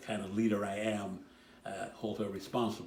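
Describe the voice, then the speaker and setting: The room echo is audible as a man speaks at a fairly quick pace. His pitch is fairly low and his intonation monotone and flat. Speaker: church member. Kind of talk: recorded personal message.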